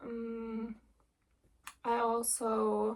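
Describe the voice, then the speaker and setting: A woman with a German accent speaks at a fairly high pitch with fairly even intonation. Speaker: cross-stitch vlogger. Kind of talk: casual vlog chat. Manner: relaxed, hesitant with many ums.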